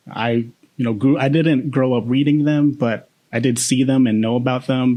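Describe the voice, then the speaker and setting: Intonation stays fairly even here. A man speaks at a moderate pace. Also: medium pitch for a man, very even loudness. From Boston, US. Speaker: podcast co-host. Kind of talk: casual chat. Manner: halting, many fillers.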